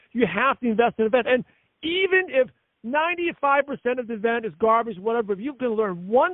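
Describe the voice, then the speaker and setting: A man speaks loudly at an extremely high pitch. His intonation is lively and his pace fairly quick. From US Northeast. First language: not English. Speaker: network marketing leader and podcast host. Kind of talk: conference call interview. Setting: conference call. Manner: fast.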